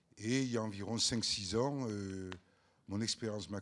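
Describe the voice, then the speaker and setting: A man's fairly low voice at a fairly slow pace with fairly even intonation. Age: 60s. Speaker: author and freemason. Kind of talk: talk at round table.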